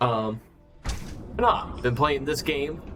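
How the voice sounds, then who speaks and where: A man's relaxed tone, with music in the background and audible room echo. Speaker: gaming streamer. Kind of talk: casual live stream chat. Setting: live stream.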